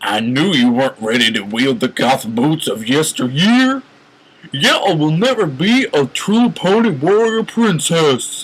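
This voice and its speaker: Putting on a character voice, a man speaks fairly slowly at a fairly high pitch, swinging very widely up and down. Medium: read story. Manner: yelling, harsh.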